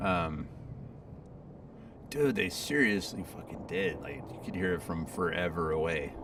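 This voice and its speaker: Ordinary pitch variation in a room with audible echo and noticeable background noise. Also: man. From Southern California. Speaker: video game streamer. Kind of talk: casual live stream chat. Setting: home studio. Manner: casual, hesitant with fillers and repeats. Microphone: back on main mic after days on laptop mic.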